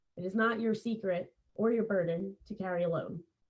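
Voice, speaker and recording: With an American accent, the speech moves at a fairly slow pace and keeps a fairly even intonation. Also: woman. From Philadelphia, US. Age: 30s. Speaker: podcaster in recovery from addiction. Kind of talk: interview.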